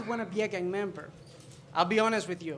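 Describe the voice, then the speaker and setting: A voice with a Spanish accent and audible room echo. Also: man. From El Salvador. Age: 20s. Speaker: stand-up comedian. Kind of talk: stand-up. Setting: stage with audience.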